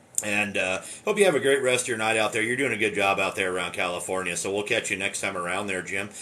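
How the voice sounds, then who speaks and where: Talking at a very fast pace with hardly any pauses, a man with a fairly low pitch keeps a fairly even intonation against noticeable background noise. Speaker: amateur radio operator. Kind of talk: ham radio contact. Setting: radio transmission from basement. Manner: loud.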